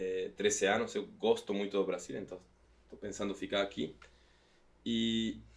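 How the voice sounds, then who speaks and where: Speaking in an Argentine accent, a man goes at a fairly slow pace with long, frequent pauses. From Argentina, Patagonia. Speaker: company CEO. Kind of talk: podcast interview.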